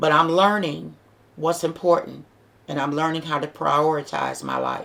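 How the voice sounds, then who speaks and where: A woman speaks with a very deep, low pitch and vocal fry. Her pace is moderate. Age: 60s. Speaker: vlogger giving advice to single moms. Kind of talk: inspirational talk to camera. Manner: earnest, conversational.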